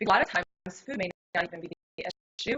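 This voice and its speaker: Very fast female speech with ordinary movement in pitch. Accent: American. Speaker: health coach and personal trainer. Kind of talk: interview.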